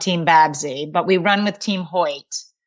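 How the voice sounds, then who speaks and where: A woman with a Boston accent speaks at a fairly slow pace. Her pitch is medium, and her intonation is fairly even. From Massachusetts, Boston area. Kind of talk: interview.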